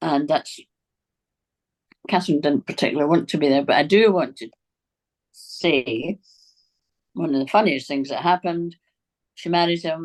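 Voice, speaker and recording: Long, frequent pauses break up a woman's speech at a moderate pace. Her pitch is very deep and low, with ordinary variation. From Scotland, east end of Glasgow. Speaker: author. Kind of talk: interview. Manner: animated storytelling.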